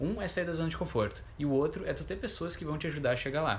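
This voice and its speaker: A man speaks with a fairly high pitch and vocal fry. Audible room echo surrounds his voice. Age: 20s. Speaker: podcast co-host, coach. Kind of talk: casual chat.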